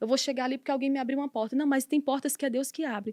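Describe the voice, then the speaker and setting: A woman speaks at a high pitch with ordinary pitch variation. The sound is dry and close, with no echo. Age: 30s. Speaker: missionary preacher and author. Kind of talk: podcast interview. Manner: fast.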